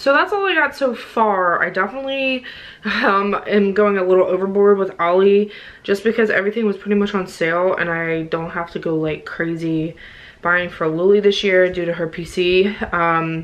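A woman at medium pitch and moderate pace, with ordinary pitch variation

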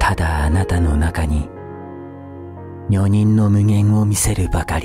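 Clear music plays in the background while the voice moves at a fairly slow pace in a dry sound with no echo. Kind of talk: poetry reading, ASMR.

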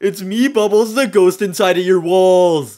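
A man puts on a character voice at a high pitch. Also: moderate pace. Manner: spooky.

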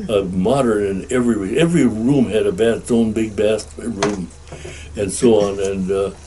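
The speaker has an American accent and a moderate pace, with ordinary pitch variation. Background noise is noticeable. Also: man, fairly low pitch for a man. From Upper Peninsula of Michigan; Michigan. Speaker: war veteran and resort owner. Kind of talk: oral history interview answer.

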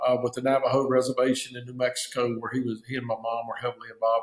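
Audible room echo on a man's speech. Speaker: guest. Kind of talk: interview answer. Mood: calm, reflective. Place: office. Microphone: webcam.

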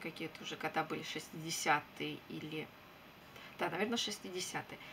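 A woman speaks at a fairly slow pace. Light background noise sits behind her. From Russia. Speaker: beauty vlogger. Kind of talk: casual chat. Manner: relaxed. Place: home room. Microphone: webcam.

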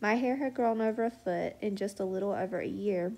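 A woman with an unremarkable speaking voice talks at a moderate pace and medium pitch. Her intonation is fairly even, on a very clean recording with a silent background. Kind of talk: testimony then fervent prayer. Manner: earnest, fervent, declaring prayer with conviction.

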